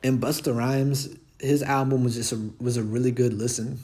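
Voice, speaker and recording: A man's medium-pitched voice, dark and mellow in tone and somewhat breathy, with ordinary pitch variation and audible room echo. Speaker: rapper and podcast host. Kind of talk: casual solo monologue. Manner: quiet; relaxed with many fillers.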